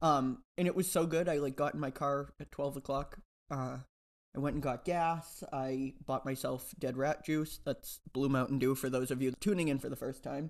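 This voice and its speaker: Fairly high in pitch, a man speaks in a normal speaking voice. His pace is moderate and his intonation fairly even. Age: 20s. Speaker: podcast co-host. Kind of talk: casual chat.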